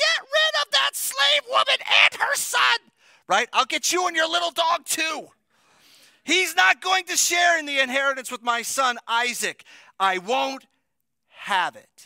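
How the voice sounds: A whiny put-on character voice from a man, extremely high-pitched, at a moderate pace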